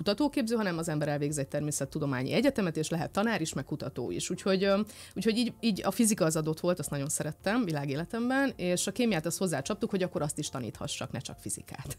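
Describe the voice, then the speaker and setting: Speaking very fast, a woman uses lively intonation at a fairly low pitch. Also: hardly any pauses. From Romania, Satu Mare (Szatmárnémeti); Romania. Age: 30s. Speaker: physicist and influencer; interview guest. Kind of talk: casual chat; interview answer. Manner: halting. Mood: warm, reflective. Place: studio. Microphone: studio mic.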